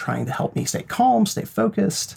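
A somewhat breathy man with an American accent. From Idaho, rural. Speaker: psychologist. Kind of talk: interview.

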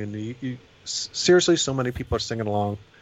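Noticeable background noise is present throughout. A man speaks fairly quickly, his pitch varying in an ordinary way. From Indiana. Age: 40s. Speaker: punk club night promoter and bassist. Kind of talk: casual chat.

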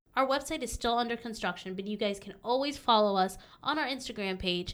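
The recording is very clean, with a silent background, as a woman talks at a fairly quick pace. She has an ordinary speaking voice, fairly high in pitch with ordinary variation. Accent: American. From Southern California. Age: young. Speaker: podcast co-host, healthcare worker. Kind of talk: casual chat.

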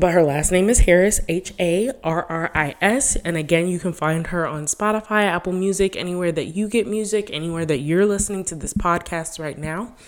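This woman speaks at a moderate pace. Her pitch is fairly low, with ordinary variation. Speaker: podcast host. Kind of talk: casual solo podcast talk. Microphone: new dedicated microphone.

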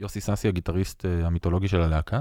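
On a very clean recording with a silent background, a man's voice has a dry, close sound with no echo. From Israel, Jaffa. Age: 40s. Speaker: metal band frontman. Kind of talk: podcast interview.

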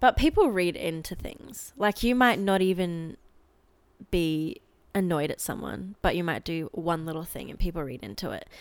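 A woman with an Australian accent, fairly low in pitch, with lively intonation and big swings in loudness. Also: moderate pace. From Australia (Adelaide). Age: young. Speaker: university student. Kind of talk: casual chat.

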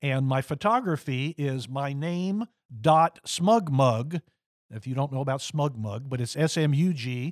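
On a very clean recording with a silent background and a dry, close sound with no echo, a man with an American accent speaks at a fairly slow pace and medium pitch in an ordinary speaking voice, with ordinary pitch variation. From Florida. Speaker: retired photographer and city councilman. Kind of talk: casual radio interview. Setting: radio studio.

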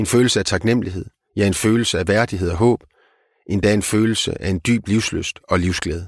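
A man speaks in a normal speaking voice at a moderate pace, his fairly low pitch carrying fairly even intonation in a dry, close sound with no echo. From Denmark, Vendsyssel (North Jutland). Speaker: philosopher and author. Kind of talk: interview.

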